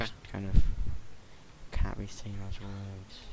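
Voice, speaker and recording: A man speaks at a fairly slow pace with very wide pitch swings. Noticeable background noise runs underneath. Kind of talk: casual gameplay commentary. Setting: bad microphone. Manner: stutters sometimes.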